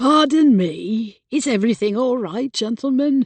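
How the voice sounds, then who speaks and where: A woman's high-pitched put-on character voice with lively intonation at a moderate pace. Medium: read story. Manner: polite, guarded.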